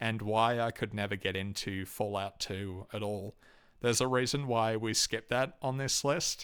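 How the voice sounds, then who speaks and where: This clip is very clean, with total silence behind the voice. A man talks in an Australian accent, his intonation fairly level. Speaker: video game reviewer. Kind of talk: solo review monologue. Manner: hesitant, many fillers.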